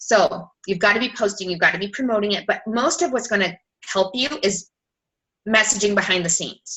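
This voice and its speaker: A woman speaks fairly quickly in a medium pitch, with ordinary pitch variation. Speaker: fitness coach. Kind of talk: team call presentation. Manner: rapid fire.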